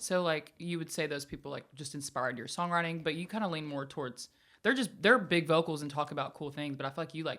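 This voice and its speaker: In a very clean recording with a silent background, a woman speaks very fast in a very deep, low pitch with ordinary pitch variation. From US South, Alabama. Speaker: singer-songwriter. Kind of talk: casual chat.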